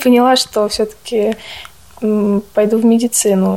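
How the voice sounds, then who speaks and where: A woman's fairly high, fairly evenly intoned voice amid noticeable background noise. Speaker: nursing student. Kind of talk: interview.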